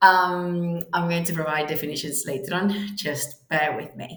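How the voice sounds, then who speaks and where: A woman talks at a fairly slow pace with a fairly low pitch and lively intonation, in a Spanish accent. Audible room echo surrounds the voice. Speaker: English teacher. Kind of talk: online language lesson.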